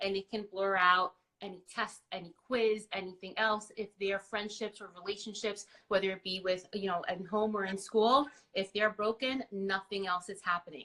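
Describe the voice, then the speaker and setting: Bright and sharp in tone, a woman with a Spanish accent speaks at a moderate pace and a medium pitch. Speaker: school counselor. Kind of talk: interview.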